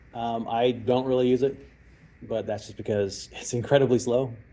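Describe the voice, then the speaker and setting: With an American accent and a medium pitch, a man speaks at a moderate pace amid audible room echo. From Texas. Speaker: cyber security expert and former hostage negotiator. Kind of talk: lecture with audience Q&A.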